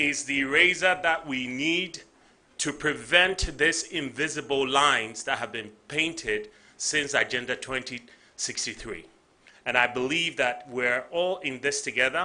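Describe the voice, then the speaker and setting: A man with a Ghanaian accent, fairly high in pitch, with a bright, sharp tone. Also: ordinary pitch variation, fairly slow pace. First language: Ga. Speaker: tech company CEO. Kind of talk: conference speech.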